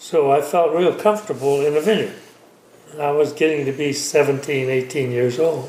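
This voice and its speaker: A man with an American accent at a moderate pace, ordinary pitch variation, and noticeable background noise. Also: fairly high pitch for a man. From Mendocino County, California. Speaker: vineyard owner and winemaker. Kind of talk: interview. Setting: home kitchen.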